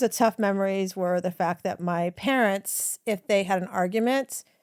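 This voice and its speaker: On a very clean recording with a silent background, a woman speaks in a normal speaking voice with an American accent at a moderate pace. Her pitch is medium with ordinary pitch variation, and the sound is dry and close with no echo. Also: hardly any pauses. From US South. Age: 60s. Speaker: women's empowerment coach and author. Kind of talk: podcast interview, personal storytelling. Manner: conversational with frequent fillers.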